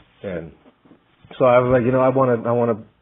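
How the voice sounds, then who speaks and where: A man with an American accent talks at a very fast pace in a medium pitch. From US, rural northeastern Montana (Fort Peck Reservation). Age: 30s. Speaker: job applicant, music producer and military veteran. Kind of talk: recorded application presentation. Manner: informal, halting with restarts.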